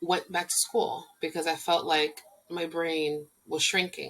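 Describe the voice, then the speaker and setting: A woman in a Spanish accent, speaking at a fairly slow pace. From Puerto Rico. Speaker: domestic violence recovery coach. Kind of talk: personal introduction vlog.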